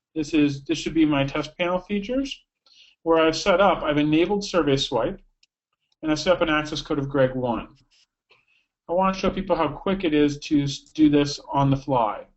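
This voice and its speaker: Ordinary pitch variation marks a man's voice set at a fairly high pitch. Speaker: software product demonstrator. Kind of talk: webinar software demo. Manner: fast.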